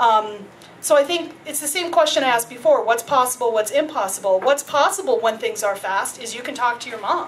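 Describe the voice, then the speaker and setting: Noticeable background noise sits under a woman with an American accent. She talks at a fairly quick pace and high pitch. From US, New York City. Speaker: invited speaker. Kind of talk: public discussion. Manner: fast.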